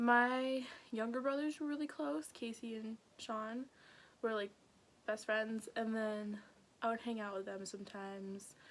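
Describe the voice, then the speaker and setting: Quiet speech comes at a fairly slow pace with long, frequent pauses. Pitch variation is ordinary. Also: woman, fairly high pitch for a woman. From North Dakota, Grand Forks. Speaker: YouTuber. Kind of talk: personal storytelling vlog. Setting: at home with family nearby. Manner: casual, lots of filler words; trying to speak quieter.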